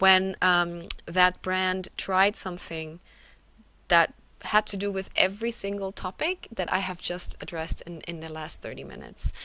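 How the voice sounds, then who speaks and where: A woman of medium pitch and bright, sharp tone talks at a moderate pace with fairly even intonation and big swings in loudness, on a very clean recording with a silent background. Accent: German. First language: German. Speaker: conference speaker, localization company representative. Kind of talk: conference presentation. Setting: virtual conference. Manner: hesitant, many fillers.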